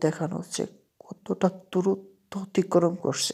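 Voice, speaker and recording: A woman talks in an unremarkable speaking voice with fairly even intonation. The recording is very clean, with a silent background. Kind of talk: casual video commentary voiceover. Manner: informal, chatty.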